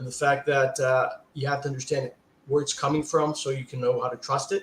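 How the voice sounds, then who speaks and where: A man speaks at a fairly high pitch with a somewhat breathy sound. His intonation is monotone and flat. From Brazil, São Paulo. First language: Portuguese. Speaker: fund manager. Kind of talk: panel discussion.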